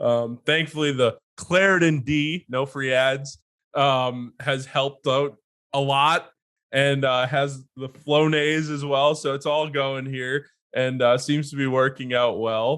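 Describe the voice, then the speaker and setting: A man at a very slow pace, fairly high in pitch, with monotone, flat intonation. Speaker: podcast co-host. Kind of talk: casual chat.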